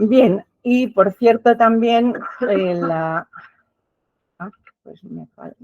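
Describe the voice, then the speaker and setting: A woman at a very slow pace with long, frequent pauses, big swings in loudness and ordinary pitch variation, in a dry, close sound with no echo. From Basque Country, San Sebastián. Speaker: professor. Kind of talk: lecture. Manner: formal.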